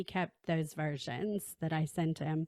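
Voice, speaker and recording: On a very clean recording with a silent background, a woman with an American accent is heard in a dry, close sound with no echo. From Texas. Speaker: podcast host. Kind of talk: casual interview chat. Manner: slow.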